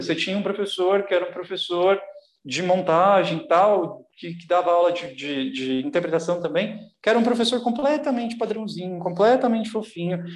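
Over audible room echo, a man with a high voice talks at a moderate pace with lively intonation. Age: 30s. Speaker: actor and writer. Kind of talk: casual chat.

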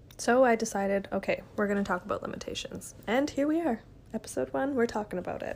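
A woman speaks very fast while noticeable background noise carries on behind her. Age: 20s. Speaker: podcast host. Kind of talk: solo monologue podcast.

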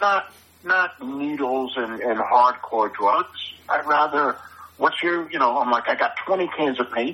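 A man with a New York accent talks at a fairly high pitch and a fairly slow pace. His intonation is lively, and noticeable background noise can be heard. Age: 60s. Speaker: graffiti artist and musician. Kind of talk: casual interview chat. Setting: phone call. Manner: blunt, confident.

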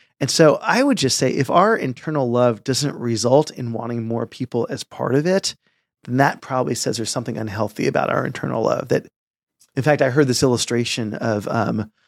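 Recorded very cleanly against a silent background, a man with a normal speaking voice talks at a fairly quick pace, his medium pitch showing ordinary variation. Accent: American. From San Francisco Bay Area suburbs, US. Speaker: pastor. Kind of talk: casual chat.

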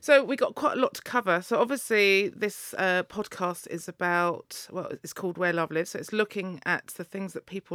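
In an English accent, a woman with a medium-pitched voice and a bright, sharp tone speaks at a moderate pace with hardly any pauses, ordinary pitch variation and big swings in loudness, in a very clean recording with a silent background and a dry, close sound with no echo. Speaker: podcast host and DJ. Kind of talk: interview. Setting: studio.

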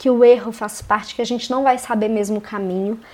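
Here, a woman speaks in a fairly high pitch. Her pitch variation is ordinary. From Belo Horizonte, Minas Gerais, Brazil. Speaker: podcast host. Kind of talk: solo podcast monologue. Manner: casual, with frequent fillers.

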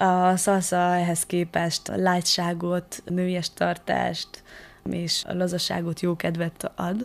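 A woman speaks in a flat monotone. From Transylvania, Szekler region (Romania). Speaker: interview guest. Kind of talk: radio interview.

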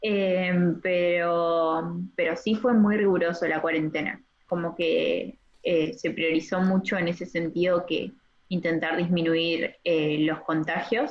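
A woman's fairly low voice in an Argentine accent, very slow and very even in loudness. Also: ordinary pitch variation. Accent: Rioplatense Argentine Spanish. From Argentina, Entre Ríos. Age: 20s. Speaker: medical student. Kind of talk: casual interview. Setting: phone call.

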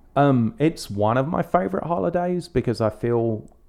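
Someone with an English accent speaks at a fairly slow pace against a quiet background. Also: man. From England. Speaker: podcast co-host. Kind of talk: casual chat.

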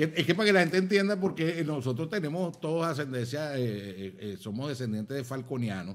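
With very wide pitch swings and hardly any pauses, a man speaks at a fairly quick pace and a fairly high pitch. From Venezuela, Zulia (Maracaibo). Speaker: comedian and actor. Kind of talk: casual chat over drinks. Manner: animated.

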